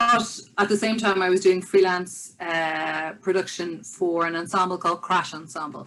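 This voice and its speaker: Fairly quick speech from a woman with a fairly low pitch and a bright, sharp tone. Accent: Irish. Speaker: business development director and musician. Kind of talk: online presentation. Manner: fast; enthusiastic.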